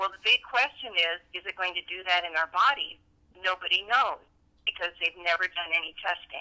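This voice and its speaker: A woman with an unremarkable speaking voice talks at a medium pitch and a fairly quick pace with ordinary pitch variation. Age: 60s. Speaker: bodybuilder, nutritionist and trainer. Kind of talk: interview answer.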